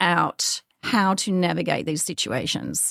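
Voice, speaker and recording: An energetic tone comes from a woman with an Australian accent. Her pitch varies in an ordinary way. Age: 50s. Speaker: podcaster and author. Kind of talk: interview.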